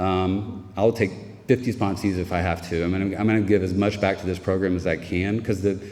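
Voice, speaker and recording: With an American accent, a man speaks in a very deep, low voice at a fairly quick pace. His intonation is a flat monotone over music in the background. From US South, Raleigh, North Carolina. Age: 50s. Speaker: recovering alcoholic speaker. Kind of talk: recovery meeting testimony. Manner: halting.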